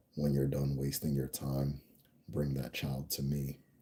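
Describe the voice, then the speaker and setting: Using a put-on character voice, a man drones in a flat monotone at a very deep, low pitch. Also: moderate pace. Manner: slow.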